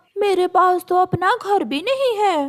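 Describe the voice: A woman puts on a cartoonish character voice. Her pitch is extremely high. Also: moderate pace.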